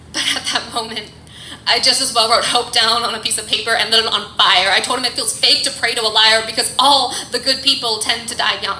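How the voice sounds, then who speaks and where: A woman speaks at a fairly quick pace with a fairly high pitch and a flat, monotone intonation. Noticeable background noise sits behind her. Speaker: poet. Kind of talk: slam poetry performance. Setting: live venue, café.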